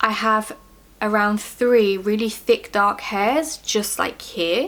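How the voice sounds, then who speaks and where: This woman has an ordinary speaking voice with fairly high pitch. She speaks at a fairly slow pace. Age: 30s. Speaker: beauty vlogger sharing personal health experience. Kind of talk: casual Q&A monologue to camera. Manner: casual, with fillers and self-corrections.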